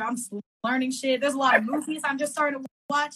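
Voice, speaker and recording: A woman with an American accent projects a raised voice at a high pitch and very fast pace, her tone bright and sharp and her intonation fairly even. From Northern California. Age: 20s. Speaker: singer-songwriter. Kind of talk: casual interview chat.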